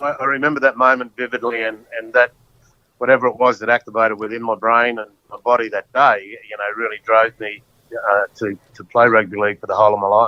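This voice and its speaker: With an Australian accent, a man of medium pitch talks at a fairly quick pace in a monotone, flat intonation, his loudness swinging widely. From Queensland, Australia. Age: 60s. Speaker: former rugby league player. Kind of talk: casual interview chat.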